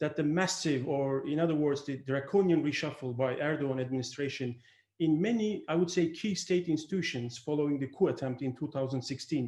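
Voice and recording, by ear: Fairly quick speech from a man, fairly high-pitched and slightly mellow in tone, with ordinary pitch variation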